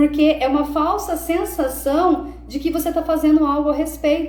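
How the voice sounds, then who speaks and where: Speech with monotone, flat intonation is heard through audible room echo and noticeable background noise. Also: woman. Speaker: self-development coach. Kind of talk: live stream talk. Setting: live stream.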